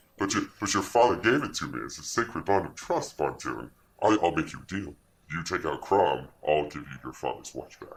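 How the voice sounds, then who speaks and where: The delivery moves fairly quickly. It is a put-on character voice. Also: man, fairly low pitch for a man. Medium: actual play.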